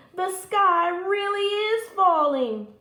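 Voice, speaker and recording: A woman uses a put-on character voice at an extremely high pitch, raised and projected. An echo is audible around her. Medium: read story. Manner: sly, smooth.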